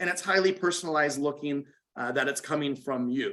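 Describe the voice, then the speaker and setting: Talking at a very fast pace, a man speaks in a fairly high pitch. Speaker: corporate software trainer. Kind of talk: training webinar.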